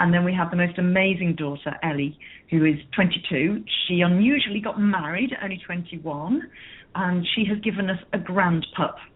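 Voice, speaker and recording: A woman speaks in an English accent at a medium pitch. Her pace is moderate. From northern England, Merseyside coast near Liverpool. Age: 50s. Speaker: business coach. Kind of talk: radio interview.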